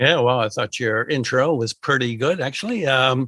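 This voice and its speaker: A man's bright, sharp voice with an American accent at a moderate pace, recorded dry and close with no echo. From United States. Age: old. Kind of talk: interview.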